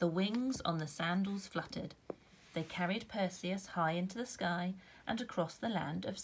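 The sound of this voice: Typical pitch movement in a reading voice that sounds unforced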